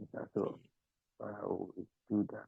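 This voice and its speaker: A man speaks quietly. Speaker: webinar participant. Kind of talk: casual chat.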